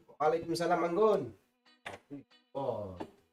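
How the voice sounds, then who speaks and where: Against background music, a man with a high voice speaks with lively intonation. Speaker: game streamer. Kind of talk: live stream chat while gaming.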